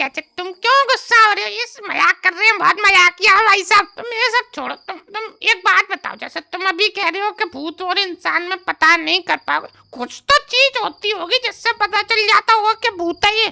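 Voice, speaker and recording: A woman's put-on character voice, extremely high-pitched and fairly quick with hardly any pauses, in a dry, close sound with no echo. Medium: comedy sketch. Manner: chatty, stammering, curious.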